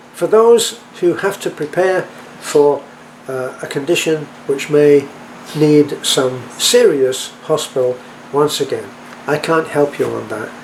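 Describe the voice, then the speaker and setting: With an American accent, the speaker goes at a very slow pace with long, frequent pauses and ordinary pitch variation over noticeable background noise. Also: man, fairly high pitch for a man. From England. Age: 80s+. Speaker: expat vlogger. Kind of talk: casual vlog talk. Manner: halting, with repetitions and fillers.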